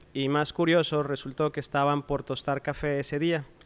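On a very clean recording with a silent background, a man talks at a fairly quick pace in monotone, flat intonation. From Mexico, Coahuila. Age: 40s. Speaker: coffee shop owner and roaster. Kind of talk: interview. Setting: his coffee shop.

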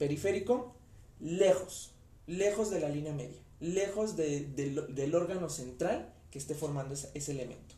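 Speaking at a moderate pace, a man with a fairly high pitch and ordinary pitch variation is heard with audible room echo. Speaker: anatomy lecturer. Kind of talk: lecture. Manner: stammers when talking long.

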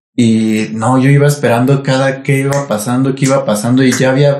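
A man's medium-pitched, monotone voice with flat intonation and a Mexican accent, music playing in the background. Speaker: podcast co-host. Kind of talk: casual chat.

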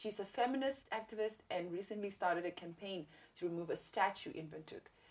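A woman's plain, everyday voice at a medium pitch, fairly quick in pace, with ordinary pitch variation. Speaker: podcast host and comedian. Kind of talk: casual interview chat.

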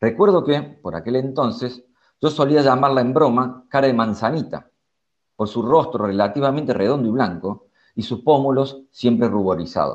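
At a moderate pace, a man speaks in a normal speaking voice with a medium pitch. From Córdoba, Argentina. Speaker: psychologist and author. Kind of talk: reading aloud; casual chat.

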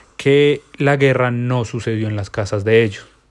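This man's intonation stays fairly even throughout. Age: 20s. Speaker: podcast host. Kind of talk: solo monologue.

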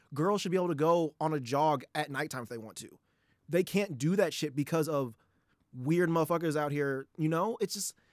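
An ordinary speaking voice: a man with a fairly high pitch and ordinary pitch variation, with big swings in loudness, recorded very cleanly in silence with a dry, close sound and no echo. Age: 20s. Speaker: podcast co-host. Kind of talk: casual chat.

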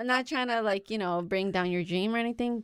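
Using an ordinary speaking voice, a woman talks at a fairly quick pace with ordinary pitch variation. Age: 20s. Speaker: student council director. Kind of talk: casual chat.

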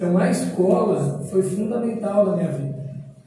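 A man's high-pitched voice with audible room echo and noticeable background noise. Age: 30s. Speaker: politician. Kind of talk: talk and Q&A at a school. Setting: school event with students.

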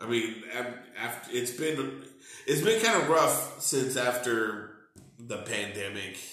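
Very slow speech in an American accent with ordinary pitch variation, audible room echo and noticeable background noise. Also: man, medium pitch for a man. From Texas, Corpus Christi. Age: 40s. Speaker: stand-up comedian. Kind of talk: casual chat.

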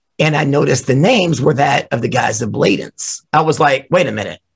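A man with a fairly high pitch, vocal fry and a moderate pace. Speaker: drummer. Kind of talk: interview.

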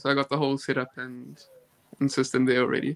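Talking at a very fast pace, a man with a South African accent has a fairly high pitch, heard in a dry, close sound with no echo. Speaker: competitive swimmer. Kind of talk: casual chat. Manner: halting.

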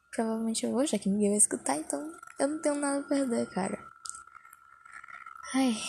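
Quiet and somewhat breathy, a woman speaks at a moderate pace with a dark, mellow tone. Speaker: podcaster. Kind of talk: casual monologue. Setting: under a blanket at home. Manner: speaking quietly.

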